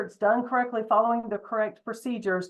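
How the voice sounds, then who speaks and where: With a Southern US accent, a woman speaks in a fairly high pitch. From US South. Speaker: state environmental regulator. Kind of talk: public presentation at town hall. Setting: town hall meeting. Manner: fast.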